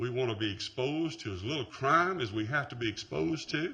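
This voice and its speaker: A bright, sharp tone with vocal fry. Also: man. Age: 60s. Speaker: resident speaking at hearing. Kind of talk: public hearing comment. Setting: city planning meeting.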